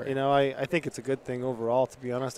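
A man speaks in a medium pitch with an American accent. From southern Utah. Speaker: podcast host, hunter.

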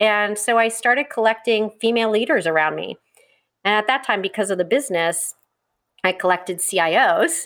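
A woman speaks at a fairly quick pace in a plain, everyday voice, fairly high in pitch with ordinary variation, on a very clean recording with a silent background. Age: 50s. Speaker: company founder and CEO. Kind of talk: interview.

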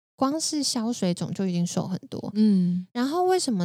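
The pace is moderate. A dark, mellow tone colors the voice. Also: woman, very clean recording, silent background. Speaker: health coach and podcaster. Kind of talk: casual chat. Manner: animated.

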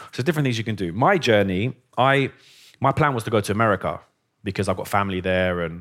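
A man with a London accent speaks at a fairly quick pace with ordinary pitch variation in a very clean recording with a silent background. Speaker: dentist. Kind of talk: interview. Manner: animated.

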